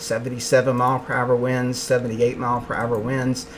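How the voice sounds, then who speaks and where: Speaking quietly at a moderate pace and medium pitch, a man with an American accent is heard over noticeable background noise. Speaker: meteorologist. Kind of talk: live weather coverage. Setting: home office.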